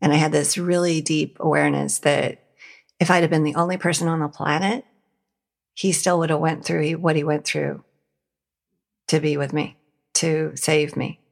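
Speaking in an American accent at a moderate pace, the voice has vocal fry, monotone, flat intonation and long, frequent pauses. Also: woman, very deep, low pitch for a woman, very clean recording, silent background. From Montana, US. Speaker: nonprofit founder and leadership trainer. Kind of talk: interview conversation.

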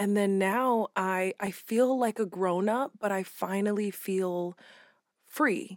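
A woman's medium-pitched voice at a very slow pace, with ordinary pitch variation, dry and close with no echo, on a very clean recording against a silent background. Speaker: podcast co-host. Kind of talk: casual chat.

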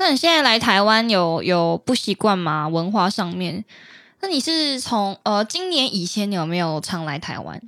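Slowish at a fairly slow pace, a woman's medium pitch swings very widely up and down. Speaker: podcast host and actress. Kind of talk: casual chat.

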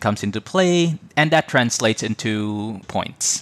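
A Visayan Filipino accent at a fairly slow pace, ordinary pitch variation, dry and close with no echo, on a very clean recording with a silent background. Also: man. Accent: Filipino (Cebuano) English. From Philippines, Cebu City. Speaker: podcaster, immigrant professional. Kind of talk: interview.

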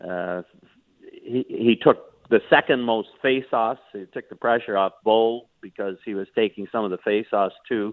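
A man with an ordinary speaking voice, medium pitch, fairly even intonation, big swings in loudness and a fairly slow pace. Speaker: hockey analyst. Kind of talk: analytical sports commentary.

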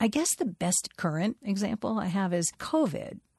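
A somewhat breathy woman at a medium pitch, fairly slow, with very wide pitch swings, in a dry, close sound with no echo and a quiet background. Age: 50s. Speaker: writer. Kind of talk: interview.

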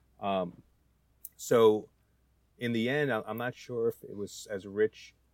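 With an American accent, a man is heard in a very clean recording with a silent background and a dry, close sound with no echo. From New Jersey. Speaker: home cook. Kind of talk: casual chat. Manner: halting.

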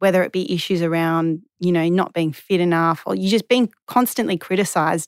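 In an Australian accent, a woman with a fairly low pitch and ordinary pitch variation talks at a fairly quick pace with hardly any pauses, in a very clean recording with a silent background and a dry, close sound with no echo. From Western Australia, Perth. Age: 30s. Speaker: former professional tennis player. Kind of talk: interview.

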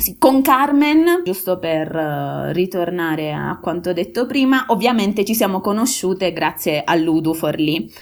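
Over noticeable background noise, the speech runs at a fairly slow pace with hardly any pauses and very wide pitch swings. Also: woman, medium pitch for a woman. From Molise, Italy. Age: 30s. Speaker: aid worker. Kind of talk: casual interview.

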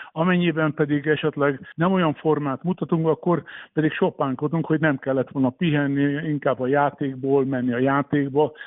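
An ordinary speaking voice at a moderate pace, with fairly even intonation, hardly any pauses and very even loudness. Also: man, fairly high pitch for a man. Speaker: former water polo champion and coach. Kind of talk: radio interview.

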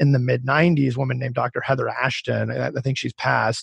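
A man speaks with a somewhat breathy voice and an American accent. His pitch is medium and his pace moderate. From US, Colorado. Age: 30s. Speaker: startup founder and CEO. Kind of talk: interview.

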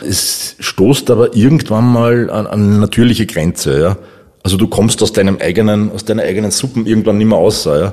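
Through noticeable background noise, a man speaks at a fairly quick pace with ordinary pitch variation. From Upper Austria. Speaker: copywriter. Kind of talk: interview.

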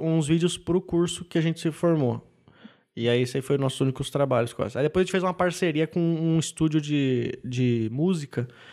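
In a southern Brazilian accent, a man talks at a moderate pace with a fairly high pitch, ordinary pitch variation and very even loudness, in a very clean recording with a silent background. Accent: gaúcho Brazilian Portuguese. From southern Brazil, Rio Grande do Sul. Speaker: stand-up comedian. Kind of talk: casual interview chat.

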